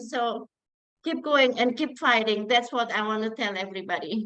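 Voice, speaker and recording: A woman speaks at a moderate pace in a high voice with a non-native accent. Her tone is bright and sharp. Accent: foreign accent, noticeable. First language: not English. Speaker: program member. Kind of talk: testimony.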